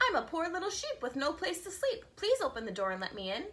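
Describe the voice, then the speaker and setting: Putting on a character voice, a woman speaks very fast at an extremely high pitch with very wide pitch swings. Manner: sweet, pleading, deceptive.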